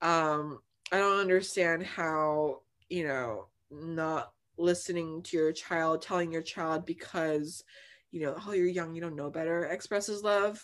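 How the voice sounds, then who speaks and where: With a normal speaking voice and an American accent, a woman speaks at a fairly low pitch and fairly slow pace with fairly even intonation, in a very clean recording with a silent background. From New Jersey. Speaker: diversity and inclusion staff at law firm. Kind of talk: casual chat.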